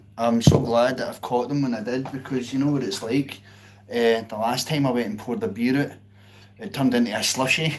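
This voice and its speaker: A man with a Glasgow accent and a medium pitch talks at a fairly quick pace with fairly even intonation, amid noticeable background noise and audible room echo. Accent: Scottish (Glasgow). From Scotland, outskirts of Glasgow. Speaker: live-stream pianist. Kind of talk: casual chat. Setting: live stream.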